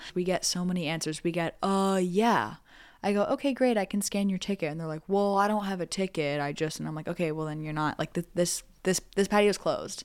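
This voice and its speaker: Recorded very cleanly with a silent background, a woman with an American accent speaks at a medium pitch and a fairly quick pace, with ordinary pitch variation. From New Jersey. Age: 20s. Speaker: stand-up comedian. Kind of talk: casual chat. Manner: halting.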